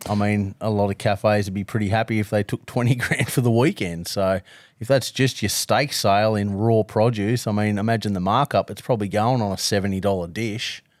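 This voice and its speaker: A man with an Australian accent talks at a fairly quick pace with hardly any pauses, his fairly low voice keeping fairly even intonation in a dry, close sound with no echo. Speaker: barbecue podcast co-host. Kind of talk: casual chat.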